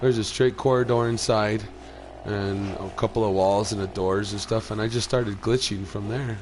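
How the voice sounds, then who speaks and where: Noticeable background noise sits behind a man whose fairly low voice has monotone, flat intonation. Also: moderate pace. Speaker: gaming streamer. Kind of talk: gameplay commentary. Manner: casual, hesitant with fillers.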